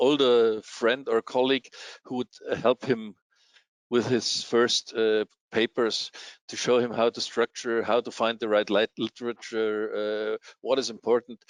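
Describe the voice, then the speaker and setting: Here a man talks at a moderate pace and a medium pitch. His intonation stays monotone and flat. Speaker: scientific journal editor and publisher. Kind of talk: interview. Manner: halting, many repetitions and fillers.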